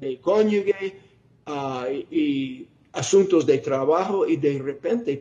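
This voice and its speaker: This man's voice sits at a fairly high pitch with ordinary pitch variation. He speaks at a very slow pace. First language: not Spanish (speaking Spanish). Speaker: preacher. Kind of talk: sermon. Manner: halting, with fillers and self-corrections.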